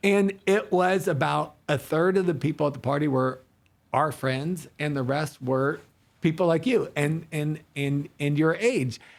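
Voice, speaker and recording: A man speaks at a fairly slow pace in a normal speaking voice, his pitch fairly high with ordinary variation. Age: 60s. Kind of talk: casual faith-based podcast conversation.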